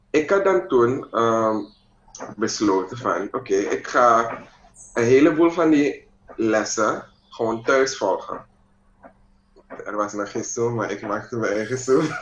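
A man talks at a very slow pace with long, frequent pauses. Room echo is audible. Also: lively intonation. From Suriname. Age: 20s. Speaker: mixed martial arts fighter; interviewee. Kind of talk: interview. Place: home room. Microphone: video call.

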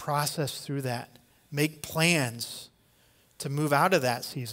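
Keeping a fairly slow pace, a man with an American accent speaks at a fairly high pitch with fairly even intonation. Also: quiet background. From US Midwest. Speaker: pastor. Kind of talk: sermon. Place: church. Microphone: headset.

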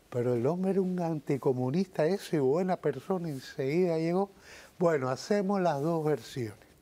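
A man talks at a moderate pace with very even loudness, in a fairly high pitch with ordinary pitch variation. His tone is dark and mellow. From Cuba. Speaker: musician and composer; guest. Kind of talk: TV interview. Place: studio. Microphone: lapel.

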